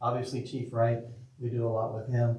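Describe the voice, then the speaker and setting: Here a man talks at a fairly quick pace in a medium pitch, with a dark, mellow, somewhat breathy tone. Room echo is audible. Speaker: school district official presenting to city council. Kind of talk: public meeting presentation. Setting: city council meeting. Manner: fast; informal, repetitive with restarts.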